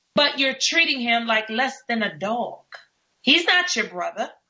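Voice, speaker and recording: A woman talks with a high pitch and an animated tone. She keeps a fairly slow pace. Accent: New York. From New York. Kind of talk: talk radio discussion. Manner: halting, repeats words.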